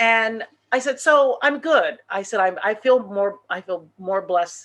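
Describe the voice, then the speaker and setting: A woman with a West Coast US accent, fairly slow, with lively intonation. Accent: General American, West Coast. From Los Angeles, California (born Dallas, Texas). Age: 70s. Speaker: entertainer and teacher. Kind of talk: interview. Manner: animated.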